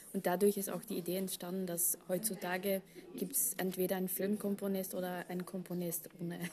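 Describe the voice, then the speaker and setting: The woman's voice is medium in pitch, dark and mellow in tone, somewhat breathy, with monotone, flat intonation. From Belgium. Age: 30s. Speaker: orchestral harpist. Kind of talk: interview. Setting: backstage after a concert. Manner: hesitant with frequent fillers.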